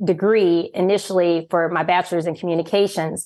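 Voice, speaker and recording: A woman with an American accent speaks in a normal speaking voice at medium pitch, keeping a moderate pace and fairly even intonation over a quiet background. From US, military child, grew up all over. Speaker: journalist and entrepreneur. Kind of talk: interview. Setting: video call.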